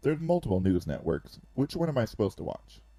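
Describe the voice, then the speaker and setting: A man puts on a character voice at medium pitch. He speaks at a very fast pace with very wide pitch swings. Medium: read story.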